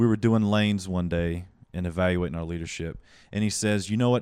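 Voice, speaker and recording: Recorded very cleanly against a silent background, a man with a Southern US accent talks at a fairly quick pace in a very deep, low pitch with ordinary pitch variation. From US South Carolina. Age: 20s. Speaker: stand-up comedian and yoga instructor. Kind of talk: casual chat, comedic interview. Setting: host's apartment, home studio. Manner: animated, profane.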